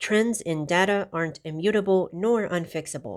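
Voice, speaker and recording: This very clean recording, with a silent background, captures a woman talking. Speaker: YouTube commentator. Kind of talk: reaction video commentary. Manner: unscripted.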